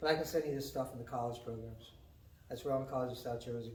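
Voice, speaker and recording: A man's voice with audible room echo. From New England. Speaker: county economic development director. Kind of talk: informational talk at a business meeting. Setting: community meeting with audience. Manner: fast.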